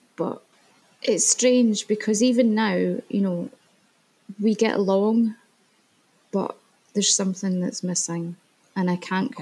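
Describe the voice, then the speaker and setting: Long, frequent pauses break up this fairly slow delivery, and the intonation is fairly even. The tone is dark and mellow and somewhat breathy. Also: woman. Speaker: guest sharing separation story. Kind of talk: interview. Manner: halting.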